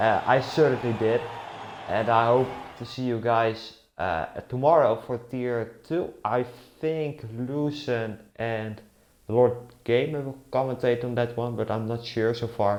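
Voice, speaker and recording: Speaking with a Dutch accent, a man at medium pitch goes at a fairly slow pace, with ordinary pitch variation and long, frequent pauses. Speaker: esports race commentator. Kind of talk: live commentary. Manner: casual.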